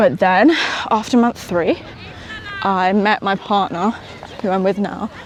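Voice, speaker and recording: Over noticeable background noise, a woman with a West Midlands accent speaks at a fairly slow pace and medium pitch, with ordinary pitch variation. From England, West Midlands (small town near Birmingham). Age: 20s. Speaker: entrepreneur vlogger. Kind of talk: casual vlog. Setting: outdoors, walking in park. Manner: casual, hesitant with fillers.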